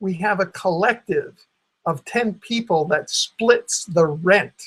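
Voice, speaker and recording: A high-pitched man with an American accent, very slow pace and lively intonation. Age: 70s. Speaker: retired independent journalist. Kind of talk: personal explanation monologue. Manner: hesitant, repetitive.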